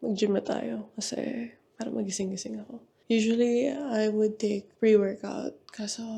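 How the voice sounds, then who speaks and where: Soft-spoken and somewhat breathy, a woman talks at a fairly slow pace with a dark, mellow tone, fairly high pitch, ordinary pitch variation and big swings in loudness. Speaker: vlogger. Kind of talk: casual vlog talk.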